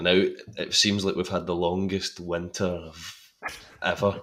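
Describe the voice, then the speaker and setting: A man with a Scottish accent, very deep, low pitch and monotone, flat intonation, in a very clean recording with a silent background. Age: 20s. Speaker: actor. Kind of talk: casual chat.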